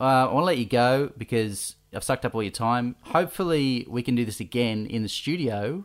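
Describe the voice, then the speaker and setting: In a very clean recording with a silent background, a man with an Australian accent speaks at a medium pitch and moderate pace with lively intonation. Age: 30s. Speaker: podcast host. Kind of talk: casual chat.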